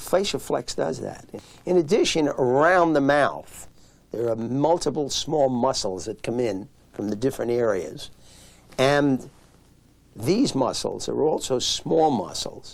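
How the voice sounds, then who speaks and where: In a plain, everyday voice, a man speaks at a fairly high pitch and a fairly slow pace with lively intonation. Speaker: physician. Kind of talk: interview answer.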